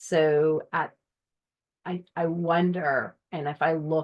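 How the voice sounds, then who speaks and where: A woman in a monotone, flat intonation. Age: 40s. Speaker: endurance sports coach and former pro athlete. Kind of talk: live stream talk. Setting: live online stream. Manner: halting with fillers.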